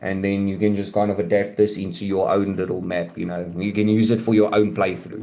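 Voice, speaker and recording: A man with a dark, mellow tone talks at a moderate pace, with audible room echo around him. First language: not English. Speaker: gaming streamer. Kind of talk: live stream gameplay commentary. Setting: live stream. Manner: casual, halting with fillers.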